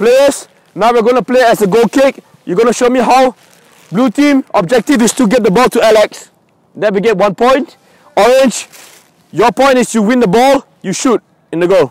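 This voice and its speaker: Against a quiet background, a man speaks at a moderate pace with long, frequent pauses. His pitch varies in an ordinary way, and the sound is dry with no echo. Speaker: youth football coach. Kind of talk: coaching instructions. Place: open country. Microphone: lapel.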